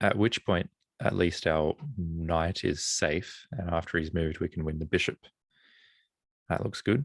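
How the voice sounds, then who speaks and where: In a very clean recording with a silent background and a dry, close sound with no echo, a man with an Australian accent speaks at a very deep, low pitch, leaving long, frequent pauses. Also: ordinary pitch variation. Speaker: chess streamer. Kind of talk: live commentary while solving chess puzzles. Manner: thinking aloud, casual.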